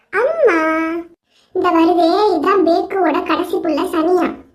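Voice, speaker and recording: A squeaky, put-on character voice talks at a very slow pace with fairly even intonation. There is audible echo. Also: woman, extremely high pitch for a woman. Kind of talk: casual comic storytelling. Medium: cartoon. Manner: breezy, conversational.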